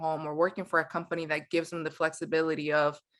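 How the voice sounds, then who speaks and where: A woman with a Spanish accent speaks at a very fast pace. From Mexico City, Mexico. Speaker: company founder. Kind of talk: podcast interview. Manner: conversational, with repetitions and fillers.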